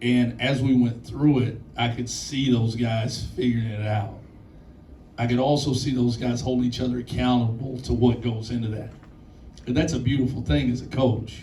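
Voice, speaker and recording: Audible room echo and noticeable background noise surround a voice moving at a moderate tempo. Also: man, medium pitch for a man, fairly even intonation. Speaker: college basketball head coach. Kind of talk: post-game press conference.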